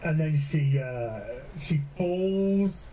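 In a British accent, this man speaks with a dark, mellow tone. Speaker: gaming streamer. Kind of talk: casual commentary on a TV show. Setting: live stream. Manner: animated.

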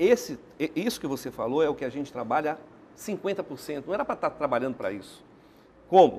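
A man's fairly high voice for a man, dark and mellow in tone, with lively intonation, a fairly quick pace, long, frequent pauses and light background noise. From Amazonas, Brazil. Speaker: business association president; interview guest. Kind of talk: TV interview. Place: studio. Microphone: lapel.

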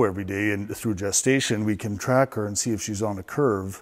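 The intonation is fairly even, set against a quiet background. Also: man. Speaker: barn equipment guide. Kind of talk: walk-through tour explanation. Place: farm machine. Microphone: lapel.

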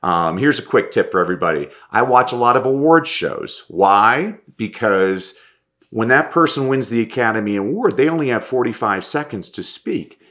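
With lively intonation and a bright, sharp tone, a man talks at a moderate pace against a quiet background. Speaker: motivational speaker and coach; motivational speaker, coach. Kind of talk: interview conversation. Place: home room. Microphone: webcam.

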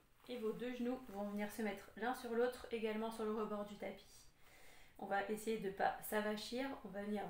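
A woman at a fairly slow pace, fairly even in intonation, with audible room echo. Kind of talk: exercise class instruction. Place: home room. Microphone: camera far.

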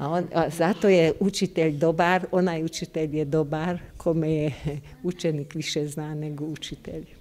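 A woman's very deep, low voice with a dark, mellow tone, monotone, flat intonation and a fairly slow pace. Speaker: kindergarten teacher. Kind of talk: casual interview. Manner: halting, hesitant. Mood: warm, smiling, fond. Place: hall. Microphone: handheld.

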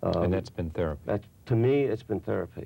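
Moderate pace, vocal fry and a dark, mellow tone from a man with a fairly low voice. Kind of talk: interview answer. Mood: somber, reflective. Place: studio.

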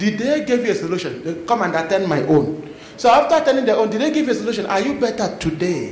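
A man's high, animated voice at a very fast pace, with very wide pitch swings, audible room echo and light background noise. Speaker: preacher. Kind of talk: fiery confrontational sermon, calling out the congregation directly. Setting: church. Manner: animated, punctuating lines with praise the Lord and amen; blunt, challenging, calls people forward from the crowd. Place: church. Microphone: handheld.

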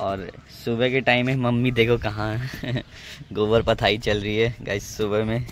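A man talks at a fairly slow pace. The sound is dry with no echo, and there is light background noise. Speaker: vlogger. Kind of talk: casual vlog chat. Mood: warm, affectionate. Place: open country. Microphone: phone near.

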